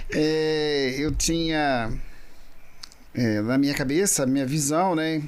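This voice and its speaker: In a room with audible echo, a man with a fairly high pitch speaks at a very slow pace, leaving long, frequent pauses. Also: ordinary pitch variation. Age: 60s. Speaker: business owner, agribusiness guest. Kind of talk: casual interview chat. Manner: halting, many fillers.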